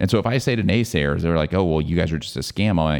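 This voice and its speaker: Lively intonation and vocal fry come through on a very clean recording with a silent background. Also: man. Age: 40s. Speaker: health company founder. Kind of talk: interview. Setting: studio.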